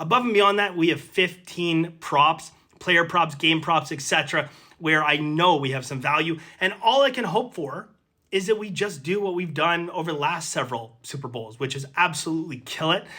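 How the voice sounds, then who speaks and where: In a very clean recording with a silent background, a man speaks at a moderate pace in a high pitch, with ordinary pitch variation. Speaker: sports betting tipster. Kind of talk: daily picks video monologue. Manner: casual, conversational with fillers.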